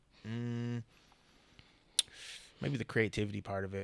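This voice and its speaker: A man with an American accent, fairly low in pitch, monotone and flat, at a moderate pace. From Buffalo, New York. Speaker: MMA fighter and photographer. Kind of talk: casual interview. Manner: halting, many restarts.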